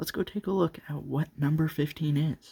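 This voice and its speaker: A man's somewhat breathy voice at a moderate pace, fairly even in intonation, with a dry, close sound and no echo. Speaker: toy collector YouTuber. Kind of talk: casual review video. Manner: quieter than usual.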